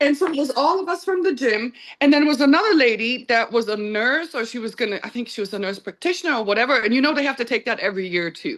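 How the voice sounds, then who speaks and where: A woman rattles along at a very fast pace with hardly any pauses, her high voice full of lively intonation. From Germany. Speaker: podcast guest. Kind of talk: casual chat.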